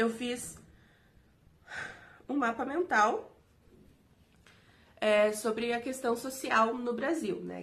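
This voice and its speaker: A woman speaks very slowly in a fairly high, somewhat breathy voice. There is audible echo in the room. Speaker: teaching intern. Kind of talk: recorded video lecture. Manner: halting, many fillers.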